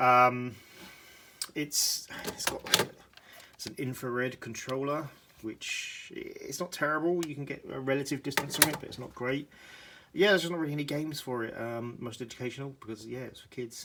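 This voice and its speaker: A British accent with big swings in loudness and ordinary pitch variation. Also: man, fairly high pitch for a man, moderate pace. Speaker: retro gaming YouTuber. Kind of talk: casual video tour. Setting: home room, handheld camera. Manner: hesitant with fillers.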